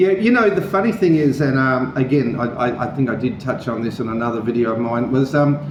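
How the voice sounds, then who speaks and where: A man's very fast, lively speech at medium pitch, with audible room echo and noticeable background noise. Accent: Australian. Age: 60s. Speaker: vlogger. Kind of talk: interview. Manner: halting.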